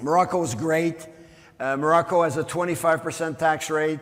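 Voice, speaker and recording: In a French Canadian accent, a man speaks at a fairly quick pace amid noticeable background noise and audible room echo. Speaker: mining company executive. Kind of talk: conference presentation.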